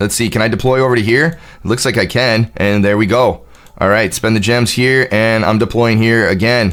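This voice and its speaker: A man speaks in an animated tone at a fairly quick pace with ordinary pitch variation. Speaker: gaming streamer. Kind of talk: live gameplay commentary. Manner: fast.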